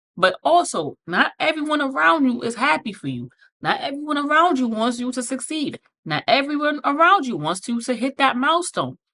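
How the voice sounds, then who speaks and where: A woman's raised, projected voice, high in pitch, bright and sharp in tone, with very wide pitch swings and a moderate pace. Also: dry, close sound with no echo. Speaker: podcast host. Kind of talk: motivational podcast monologue. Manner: animated.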